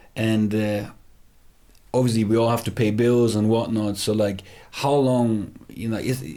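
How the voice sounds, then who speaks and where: A dark, mellow tone with fairly even intonation comes through audible room echo. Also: man. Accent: non-native. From Germany, Heidelberg near Frankfurt. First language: German. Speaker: rapper. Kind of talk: casual interview chat. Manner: hesitant, many fillers and restarts.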